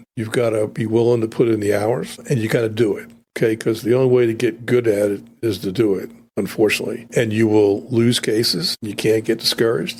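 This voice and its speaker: Fairly quick, fairly even speech from a man at medium pitch, in an unremarkable speaking voice. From North Carolina (born New York, moved at eight). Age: 60s. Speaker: trial lawyer. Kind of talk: podcast interview. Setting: studio.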